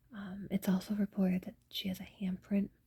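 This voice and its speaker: A woman speaks in a relaxed tone. Her voice is dark and mellow, with vocal fry. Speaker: ASMR content creator. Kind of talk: urban legend reading from text. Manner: whispered, relaxed, casual.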